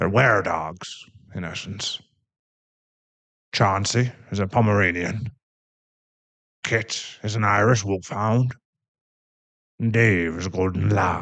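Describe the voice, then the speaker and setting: Using a put-on character voice, a man speaks at a fairly slow pace with a fairly low pitch and long, frequent pauses. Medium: audio drama. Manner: awkward, jokey.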